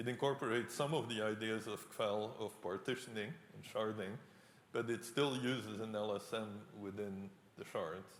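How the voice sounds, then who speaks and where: A man with a non-native accent speaks at a moderate pace and medium pitch, with fairly even intonation and audible room echo. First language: not English. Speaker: professor. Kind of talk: lecture Q&A.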